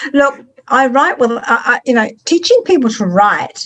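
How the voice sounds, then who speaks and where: With a New Zealand accent, a woman speaks at a fairly slow pace in a high voice with very wide pitch swings. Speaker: author. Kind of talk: interview.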